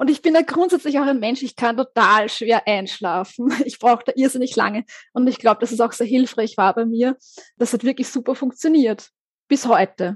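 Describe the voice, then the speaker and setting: A woman speaks in a high voice. Her pitch variation is ordinary. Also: moderate pace, dry, close sound with no echo. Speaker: psychologist and author. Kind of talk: interview testimony.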